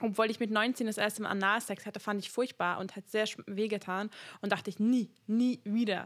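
A woman's fairly high, monotone voice with flat intonation at a moderate pace, in a very clean recording with a silent background. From Hungary. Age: 20s. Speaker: podcast host. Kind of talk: casual chat.

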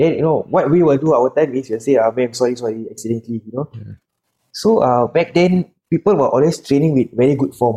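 Talking at a very fast pace, a man has a Singaporean accent and a medium pitch with ordinary pitch variation. His tone is dark and mellow, in a dry, close sound with no echo. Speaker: bodybuilder and pro wrestler. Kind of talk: podcast interview. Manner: soft-spoken.

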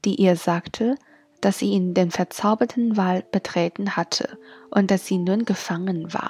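Her voice is dark, mellow, somewhat breathy and gentle in tone, with fairly even intonation, a fairly slow pace and a medium pitch for a woman. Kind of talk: bedtime story reading aloud, German then Chinese translation. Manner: gentle storyteller, even and measured pacing.

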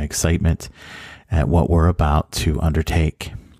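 With an American accent, a man speaks at a fairly slow pace in a very deep, low pitch, with fairly even intonation and a warm, dark, mellow tone. The recording is very clean with a silent background, and the sound is dry and close with no echo. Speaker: high school civics teacher. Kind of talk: recorded welcome message. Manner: warm, with occasional laughs.

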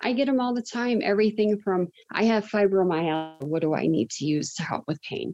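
A woman speaks fairly quickly at a medium pitch with lively intonation, an unremarkable speaking voice. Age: 40s. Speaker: cannabis dispensary worker. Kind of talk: interview.

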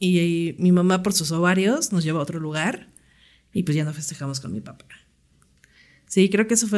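Speaking at a moderate pace with long, frequent pauses, a woman uses a fairly low pitch and ordinary pitch variation. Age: 30s. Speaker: podcast co-host. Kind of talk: casual chat.

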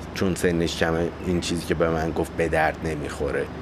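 A man's very deep, low voice at a fairly quick pace, with audible room echo and noticeable background noise. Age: 30s. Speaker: podcast host. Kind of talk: solo monologue.

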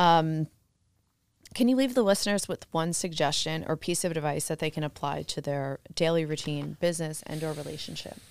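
A woman with an American accent talks at a fairly quick pace in a very deep, low voice with ordinary pitch variation, on a very clean recording with a silent background. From New Jersey. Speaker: podcast host, real estate agent. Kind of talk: casual interview.

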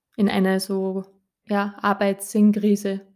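A woman speaks in a rural Austrian accent at a medium pitch. Her intonation stays monotone and flat. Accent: Austrian, audibly rural. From Austria, rural Upper Austria. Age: 30s. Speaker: life coach and kinesiologist. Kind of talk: solo podcast monologue. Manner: cheerful, warm.

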